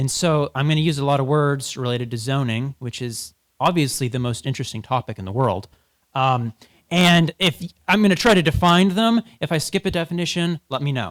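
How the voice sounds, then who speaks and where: A normal speaking voice with lively intonation runs at a fairly quick pace. The recording is very clean, with a silent background. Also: man, fairly high pitch for a man, dry, close sound with no echo. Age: young. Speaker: policy researcher and debate coach. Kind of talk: public presentation. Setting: stage with audience.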